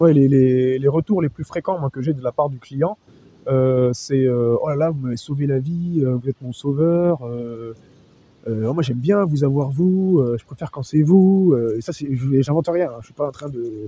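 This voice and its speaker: In a dry, close recording with no echo, a man speaks in a fairly high, somewhat breathy voice with a dark, mellow tone, ordinary pitch variation and big swings in loudness. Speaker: SOC analyst. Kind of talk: testimony. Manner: fast; halting.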